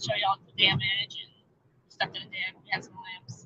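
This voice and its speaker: The speaker talks with a Southern US accent at a moderate pace and with ordinary pitch variation. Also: woman. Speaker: homestead channel vlogger. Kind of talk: livestream chat with viewers. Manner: stammering, repeats when nervous.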